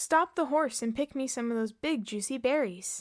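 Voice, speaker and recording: Put-on character voice with lively intonation at a moderate pace, in a very clean recording with a silent background. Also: woman, high pitch for a woman. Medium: read story. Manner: commanding, impatient.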